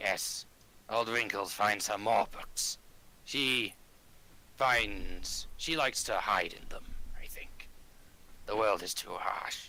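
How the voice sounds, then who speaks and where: A man's whispered, raspy put-on character voice at a fairly slow pace, broken by long, frequent pauses. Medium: actual play. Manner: terse, clipped sentences.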